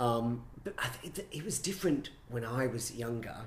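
A man with an Australian accent talks at a medium pitch in a somewhat breathy voice. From Brisbane, Australia. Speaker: choreographer and director. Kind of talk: casual interview chat.

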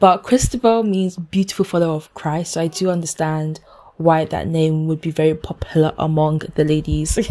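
The woman's tone is dark and mellow, her pitch fairly low. She speaks at a moderate pace with ordinary pitch variation. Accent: London. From London, UK, Ghanaian heritage. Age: 20s. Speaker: podcaster and events manager. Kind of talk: casual solo podcast intro. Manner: animated, excited.

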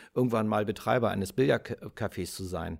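A man with vocal fry. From Germany. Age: 50s. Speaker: podcast host. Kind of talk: personal storytelling monologue.

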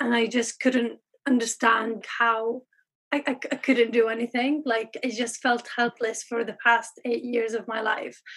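Speaking at a fairly slow pace, a woman with an Arabic accent keeps a fairly high pitch in a flat, monotone delivery. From Syria, Aleppo. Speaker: pharmacist in training. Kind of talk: interview.

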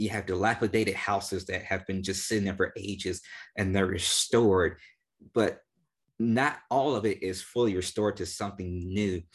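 Against a quiet background, a man speaks in a plain, everyday voice at a moderate pace, his fairly low pitch carried by fairly even intonation. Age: 20s. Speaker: podcast host. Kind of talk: solo podcast intro and outro; casual interview chat.

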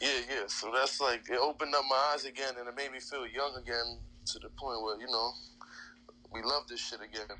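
With a New York accent, a man speaks at a fairly quick pace in a monotone, flat delivery. His pitch is medium and his tone bright and sharp. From Queens, New York. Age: 30s. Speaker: professional wrestler. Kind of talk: casual interview chat.

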